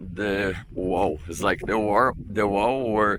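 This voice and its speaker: A man speaks with a strong Brazilian accent at a very slow pace. His fairly low voice has a bright, sharp tone and fairly even intonation. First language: Portuguese. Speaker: drift racing driver. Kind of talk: vlog track walk explanation. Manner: halting.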